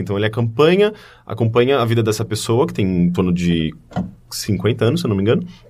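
It's a man with an ordinary speaking voice, medium pitch and lively intonation. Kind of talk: casual chat.

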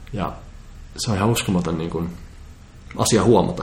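The room echo is audible as a man talks at a fairly quick pace. His pitch varies an ordinary amount. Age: 20s. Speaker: composer, futurist and public speaker. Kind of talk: casual interview chat.

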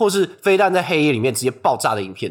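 On a very clean recording with a silent background, a man speaks with vocal fry and very wide pitch swings. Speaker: podcast co-host. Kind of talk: scripted discussion of news. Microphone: non-studio recording, sharper thinner sound.

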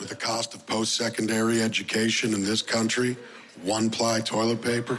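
Noticeable background noise is present. A man speaks with monotone, flat intonation. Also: medium pitch for a man, moderate pace. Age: 30s. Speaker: stand-up comedian. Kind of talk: stand-up.

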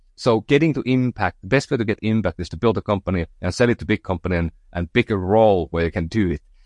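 With a Finnish accent, a man talks at a very fast pace with hardly any pauses and lively intonation, in a dry, close sound with no echo. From northern Finland. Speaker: entrepreneur. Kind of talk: interview conversation. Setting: remote call. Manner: halting, many fillers.

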